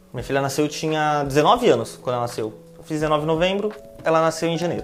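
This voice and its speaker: A man talks very fast in a fairly high voice with ordinary pitch variation as noticeable background noise continues. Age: 20s. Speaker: planning manager. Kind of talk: casual interview chat.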